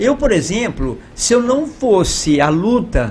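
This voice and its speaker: A man speaks with lively intonation. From Minas Gerais, Brazil (Ituiutaba). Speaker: podcast host and artist. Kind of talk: interview.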